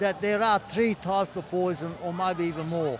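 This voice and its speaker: Over noticeable background noise, a man speaks with an Australian accent. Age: 80s+. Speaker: rally attendee. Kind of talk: street interview.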